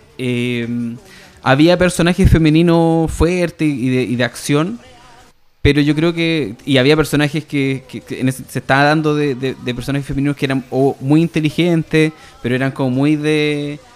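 Speaking in a Chilean accent, a man with a fairly high pitch keeps a moderate pace and fairly even intonation. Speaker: podcast host. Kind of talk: casual chat. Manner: halting, many repetitions.

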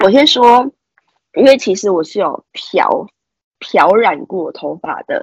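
Long pauses come frequently in this very slowly paced speech. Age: 20s. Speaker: podcast co-host. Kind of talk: casual chat.

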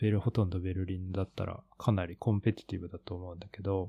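Recorded very cleanly against a silent background, a man speaks with a very deep, low pitch and a dark, mellow tone, his intonation fairly even and the sound dry and close with no echo. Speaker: podcast co-host, art practitioner. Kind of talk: casual chat.

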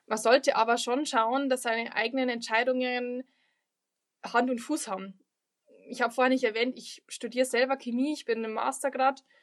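The delivery is monotone with flat intonation, broken by long, frequent pauses. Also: woman, high pitch for a woman, moderate pace. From Lower Bavaria, Germany. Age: 20s. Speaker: local politician and student. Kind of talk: podcast interview.

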